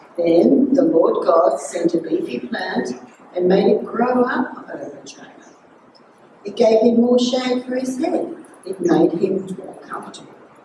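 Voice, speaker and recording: A woman speaks at a fairly slow pace with big swings in loudness, amid audible room echo and noticeable background noise. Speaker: scripture reader. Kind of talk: scripture reading. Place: church. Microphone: podium.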